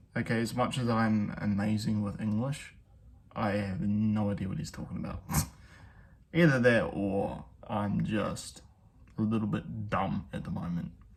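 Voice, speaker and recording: With audible room echo, a man with a fairly low pitch speaks at a moderate pace, with ordinary pitch variation and long, frequent pauses. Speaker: music reaction youtuber. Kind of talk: reaction commentary. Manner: soft-spoken.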